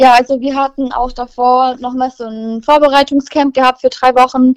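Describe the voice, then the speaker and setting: A woman's high-pitched voice, monotone and flat, at a moderate pace, the sound dry and close with no echo. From Germany, Nürtingen near Stuttgart (Swabia). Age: young. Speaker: basketball player. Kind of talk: interview.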